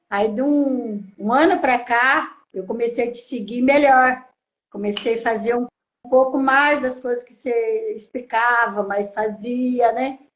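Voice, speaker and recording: Music plays in the background as a woman speaks in a high voice. Her pace is very slow and her intonation fairly even. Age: 60s. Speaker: follower, interviewee. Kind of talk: interview.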